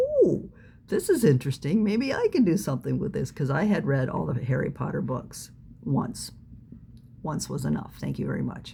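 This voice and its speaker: Noticeable noise sits in the background. A woman talks at a moderate pace. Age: 60s. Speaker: fan fiction writer. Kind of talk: personal talk to camera. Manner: halting, many fillers.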